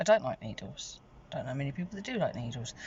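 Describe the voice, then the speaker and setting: A woman talks in a British accent. Her voice carries vocal fry. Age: 40s. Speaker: vlogger. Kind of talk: casual vlog monologue. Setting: in a car. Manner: chatty, rambling with fillers.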